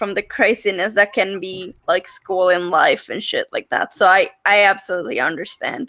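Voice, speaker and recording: A woman speaks with a strong non-native accent at a fairly slow pace. Her tone is bright and sharp. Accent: thick foreign. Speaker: podcast host. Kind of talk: casual interview chat.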